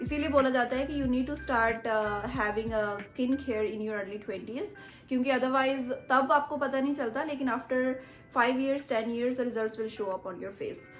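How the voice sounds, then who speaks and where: With a slight Punjabi accent, a woman speaks at a moderate pace in a high pitch with ordinary pitch variation, and audible room echo surrounds her. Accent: slight Punjabi touch in her Hindi. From India, Punjab. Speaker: beauty vlogger. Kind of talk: tutorial. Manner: casual, mixes Hindi and English.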